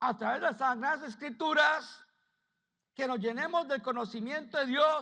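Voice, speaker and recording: A man speaks at a fairly slow pace in a raised, projected voice with an extremely high pitch. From United States. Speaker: pastor. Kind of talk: sermon.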